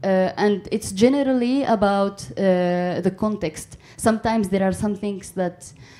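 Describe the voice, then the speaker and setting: A woman speaks at medium pitch with a dark, mellow tone. Her pace is moderate and her intonation fairly even. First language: Amazigh (Berber). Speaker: author. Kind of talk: panel discussion. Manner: halting.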